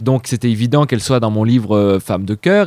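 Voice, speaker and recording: A man talks at a fairly quick pace and medium pitch. The sound is dry with no echo, and the background is quiet. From France, Savoie. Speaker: actor, writer and singer; actor. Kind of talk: interview. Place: home room. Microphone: handheld.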